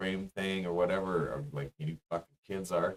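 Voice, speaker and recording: A man at a moderate pace with a Canadian accent and very wide pitch swings, in a dry, close sound with no echo. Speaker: musician and streamer. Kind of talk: casual live-stream rant. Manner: rambling, halting with repeats.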